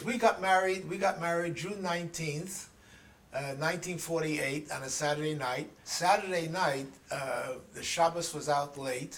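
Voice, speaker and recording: A high-pitched man's voice with a New York accent over noticeable background noise. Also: ordinary pitch variation, moderate pace. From New York City, the Bronx. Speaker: interviewee recounting life story. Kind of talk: oral history interview. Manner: halting.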